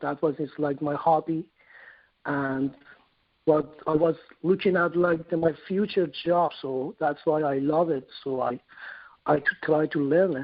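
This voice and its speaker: A man in a Persian accent, fairly high in pitch, with fairly even intonation and long, frequent pauses. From Iran. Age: 40s. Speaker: sculptor. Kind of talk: interview. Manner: halting, repeats words.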